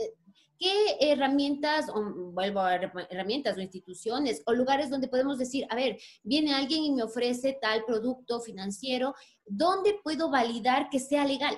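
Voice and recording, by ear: At a moderate pace, a woman talks with a high pitch and lively intonation.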